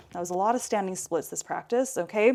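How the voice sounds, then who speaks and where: A woman's calm tone carries lively intonation on a very clean recording with a silent background. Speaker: yoga instructor. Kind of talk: guided yoga class. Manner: calm, instructive.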